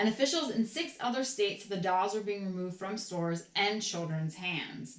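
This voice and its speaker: A woman speaks at a fairly quick pace with hardly any pauses and lively intonation. Her pitch is medium, and there is noticeable background noise. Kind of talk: ASMR reading of an old newspaper article. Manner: soft-spoken, calm.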